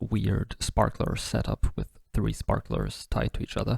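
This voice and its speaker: Soft-spoken, a man talks at a fairly slow pace. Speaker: science video maker. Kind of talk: casual science narration. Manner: soft-spoken, ASMR-like.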